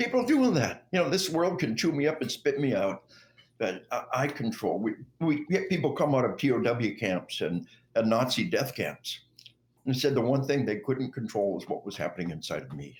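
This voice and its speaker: In an American accent, a man speaks at a medium pitch and moderate pace, with lively intonation and vocal fry. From Arkansas, US South. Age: 60s. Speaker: retired army officer and author. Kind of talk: interview.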